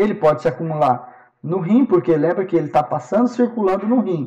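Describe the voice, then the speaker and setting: Speaking fairly quickly, a man uses a high pitch and lively intonation. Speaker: professor. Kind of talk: lecture.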